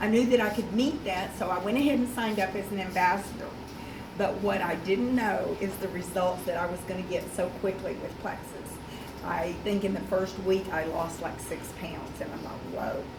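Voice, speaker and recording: Amid audible room echo and noticeable background noise, a woman speaks at medium pitch and a moderate pace with ordinary pitch variation. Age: 60s. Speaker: product ambassador giving testimonial. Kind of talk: testimony. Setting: meeting with audience.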